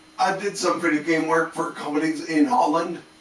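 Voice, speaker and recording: A man talks with fairly even intonation at a fairly high pitch. Noticeable background noise runs underneath. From Canada. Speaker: art and game design teacher, video creator. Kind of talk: casual talk to camera. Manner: slow, halting; sped up in editing. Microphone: static-y laptop sound card.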